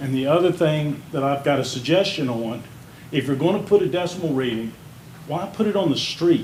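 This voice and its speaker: Audible room echo carries a man's fairly high-pitched voice. He speaks at a moderate pace. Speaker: small business owner speaking at public comment. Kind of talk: public comment at city meeting. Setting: city council meeting. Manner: loud.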